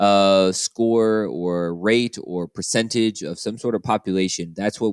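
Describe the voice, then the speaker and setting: The man's pitch is very deep and low, his pace moderate, in a dry, close sound with no echo. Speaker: math teacher. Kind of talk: lecture. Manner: hesitant, many fillers.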